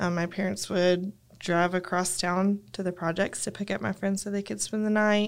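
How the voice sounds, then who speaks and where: A woman at medium pitch with a West Texas accent, fairly even intonation and a moderate pace, on a very clean recording against a silent background. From West Texas (Lubbock). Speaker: church member, seminary graduate. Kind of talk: casual chat.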